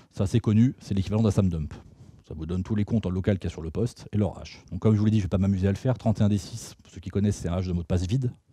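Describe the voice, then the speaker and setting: A man with a fairly low pitch and a dark, mellow tone speaks very fast, somewhat breathy, with big swings in loudness. The recording is very clean with a silent background. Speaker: security researcher and tool author presenting at a conference. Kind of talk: technical talk with live demo. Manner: casual, conversational.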